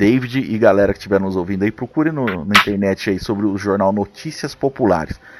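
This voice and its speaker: With ordinary pitch variation and a plain, everyday voice, a man speaks at a fairly quick pace. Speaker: podcast host. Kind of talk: casual chat.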